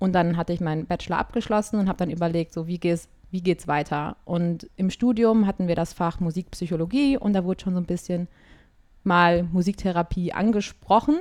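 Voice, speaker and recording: Her fairly low pitch and ordinary pitch variation mark this woman's unremarkable speaking voice. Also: fairly quick pace. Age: 20s. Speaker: singer and music therapist. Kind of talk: casual interview. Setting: online call.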